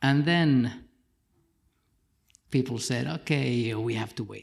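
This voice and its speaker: At a fairly slow pace, a man with a medium pitch speaks in fairly even intonation. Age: 50s. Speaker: retina implant patient. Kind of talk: panel discussion.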